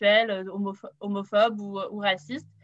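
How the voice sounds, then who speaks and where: Flat, monotone delivery over a quiet background. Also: woman. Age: 20s. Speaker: youth political activist. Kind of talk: panel introduction. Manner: hesitant, many fillers.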